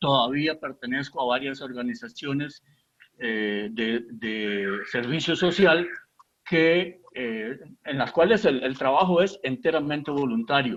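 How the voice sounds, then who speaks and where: With lively intonation and a fairly high pitch, a man speaks at a very slow pace. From Costa Rica, San Ramón. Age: 70s. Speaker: poet. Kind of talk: interview. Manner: halting, many fillers.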